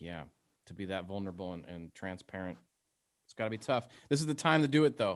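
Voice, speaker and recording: A man talks at a very fast pace with long, frequent pauses and big swings in loudness, in a very clean recording with a silent background. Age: 40s. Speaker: radio host. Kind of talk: casual interview.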